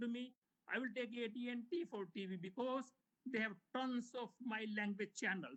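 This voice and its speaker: A man with an Indian accent speaks at a moderate pace in a bright, sharp tone, his pitch high and his pitch variation ordinary. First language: Hindi. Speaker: homeowner speaking at public comment. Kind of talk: public comment at board meeting.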